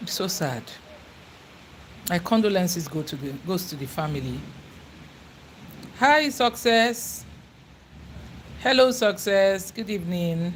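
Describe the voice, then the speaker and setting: In a Nigerian accent, a woman with a medium pitch talks at a fairly slow pace with long, frequent pauses, very wide pitch swings and big swings in loudness. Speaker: YouTuber. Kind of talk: casual livestream chat.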